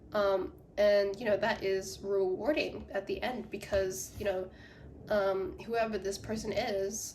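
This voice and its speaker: A woman talks in an animated tone, with audible room echo and noticeable background noise. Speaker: psychic tarot reader. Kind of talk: tarot reading monologue. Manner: animated, many fillers.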